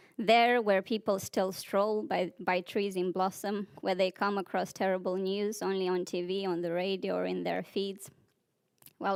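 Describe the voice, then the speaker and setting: At a moderate pace, a woman with a Romanian accent speaks in a medium pitch with fairly even intonation. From Moldova. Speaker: poet. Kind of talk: poetry reading.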